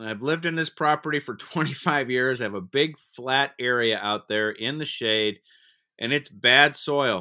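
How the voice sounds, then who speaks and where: The man's pitch sits in the medium range with ordinary pitch variation, and he has an ordinary speaking voice and a fairly slow delivery. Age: 60s. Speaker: podcast host. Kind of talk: casual interview.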